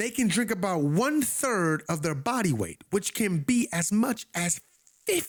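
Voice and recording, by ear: A quiet background behind a natural voice reading aloud, full of lively intonation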